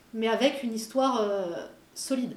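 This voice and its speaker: With audible room echo and noticeable noise behind her, a woman talks. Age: 40s. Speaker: illustrator and muralist. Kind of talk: interview.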